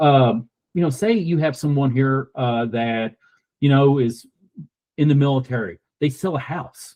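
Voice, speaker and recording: A man's dark, mellow voice in a Southern US accent, fairly slow, with long, frequent pauses and ordinary pitch variation. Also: medium pitch for a man. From US South, rural Kentucky. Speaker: donor-advised fund representative, military veteran. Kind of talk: podcast interview.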